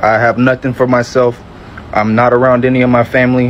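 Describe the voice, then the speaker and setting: With an American accent, a man speaks fairly quickly at a medium pitch over noticeable background noise. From US South, Georgia (Metro Atlanta). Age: 20s. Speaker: convert sharing story. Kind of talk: testimony.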